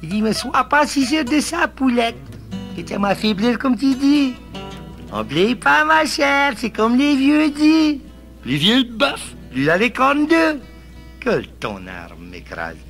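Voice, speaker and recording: With music in the background, a man talks very slowly in an extremely high pitch, with lively intonation and long, frequent pauses. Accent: Cajun. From Louisiana. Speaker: storyteller. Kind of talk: humorous folk tale telling.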